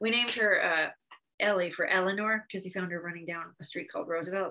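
The woman has a medium pitch and an American accent. Her tone is bright and sharp, with ordinary pitch variation. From Connecticut, US. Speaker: novelist. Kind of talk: interview.

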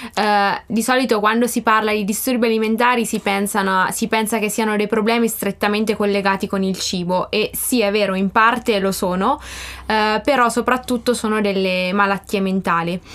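A woman speaks at a moderate pace with fairly high pitch and hardly any pauses. Her intonation stays fairly even, and her loudness is very even. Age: 20s. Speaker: life coach and student. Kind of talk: interview.

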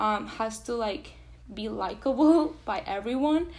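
A woman with a Spanish accent speaks at a high pitch with ordinary pitch variation. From Venezuela. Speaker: pre-med student. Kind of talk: casual interview.

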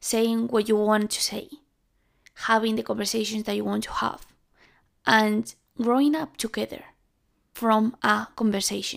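A woman with a strong Spanish accent, long and frequent pauses, on a very clean recording with a silent background. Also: moderate pace. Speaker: podcast host. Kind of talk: solo monologue podcast. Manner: halting.

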